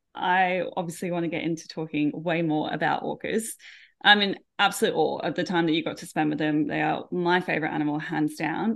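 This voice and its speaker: A woman's fairly low-pitched voice with an Australian accent. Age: 30s. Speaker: podcast host, animal trainer. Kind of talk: interview conversation.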